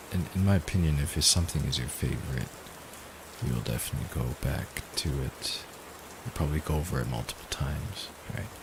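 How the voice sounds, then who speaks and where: A man with a gravelly, very deep, low voice talks at a fairly quick pace with lively intonation and long, frequent pauses over noticeable background noise. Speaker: streamer animating live. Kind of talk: casual livestream chat.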